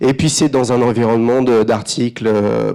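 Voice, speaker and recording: A man speaks at a fairly slow pace. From France. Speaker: advertising creative director. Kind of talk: conference talk. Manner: hesitant, many fillers and repetitions.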